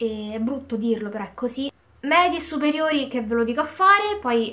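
The voice belongs to a woman. Her pitch varies in an ordinary way. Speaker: video blogger. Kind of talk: casual chat, Q&A to camera. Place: home room. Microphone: phone near.

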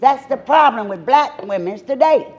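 A woman's voice with very wide pitch swings. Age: 60s. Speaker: city council member. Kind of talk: formal speech at council meeting.

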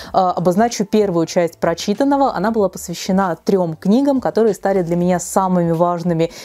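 At a fairly quick pace, a woman speaks with hardly any pauses. Her pitch variation is ordinary. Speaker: book blogger. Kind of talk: casual vlog chat. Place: home room. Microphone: lapel.

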